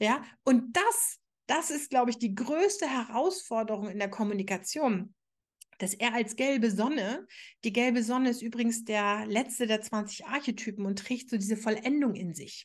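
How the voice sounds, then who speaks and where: Speaking at a moderate pace, a woman with an ordinary speaking voice uses a fairly high pitch with ordinary variation. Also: quiet background. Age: 40s. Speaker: podcast host, astrologer and relationship coach. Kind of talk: solo podcast monologue.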